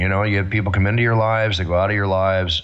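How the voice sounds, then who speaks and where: This man has a fairly low voice and an American accent. Noticeable background noise runs under his speech. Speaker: ring announcer. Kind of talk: interview answer.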